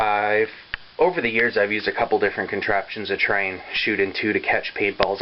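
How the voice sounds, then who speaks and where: Speaking at a fairly quick pace, a man with a fairly low pitch is heard over noticeable background noise. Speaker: paintball equipment tester. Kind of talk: casual talk to camera. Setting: poor camera microphone.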